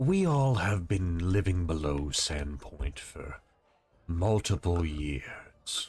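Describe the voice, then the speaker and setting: Speaking in a put-on character voice, a man's pitch is very deep and low. He goes at a very slow pace on a very clean recording with a silent background. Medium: actual play. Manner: courteous, formal, calm.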